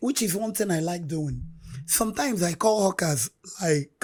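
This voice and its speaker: Fairly low-pitched and somewhat breathy, a woman speaks at a fairly slow pace. Her intonation is lively. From Nigeria, Anambra State. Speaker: street hawker, bereaved mother. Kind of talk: interview testimony.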